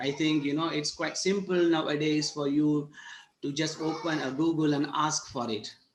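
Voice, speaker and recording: A man's fairly high-pitched voice. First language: not English. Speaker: university lecturer. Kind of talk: online workshop lecture. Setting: video call.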